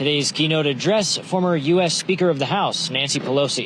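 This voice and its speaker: Amid noticeable background noise, a man with an American accent and a high pitch speaks at a moderate pace with ordinary pitch variation. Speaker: TV news reporter and anchor. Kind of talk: TV news report.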